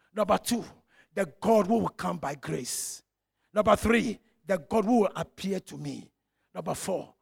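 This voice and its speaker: The tone is animated, and the sound is dry and close with no echo. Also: man. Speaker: pastor. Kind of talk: sermon. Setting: church.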